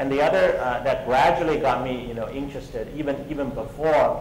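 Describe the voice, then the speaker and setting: With a Chinese accent, the speaker goes at a very fast pace amid noticeable background noise and audible room echo. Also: man. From China. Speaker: tech entrepreneur. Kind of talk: conference talk. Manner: halting, many fillers and repetitions.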